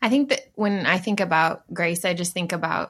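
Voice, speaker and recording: Here is a woman with an American accent and a normal speaking voice. Her pitch is medium with ordinary variation, and her pace is moderate. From Dallas area, Texas. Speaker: churchgoer interviewed with her husband. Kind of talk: casual interview over video call. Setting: video call.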